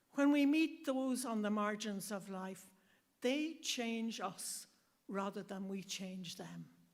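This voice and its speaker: Speaking with an Irish accent, a woman talks at a very slow pace with a fairly high pitch and lively intonation. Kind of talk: speech at event.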